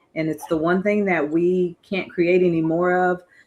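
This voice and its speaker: Using a normal speaking voice, a woman talks at a fairly quick pace in a fairly low pitch. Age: 60s. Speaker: guest on finance podcast. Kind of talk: casual chat.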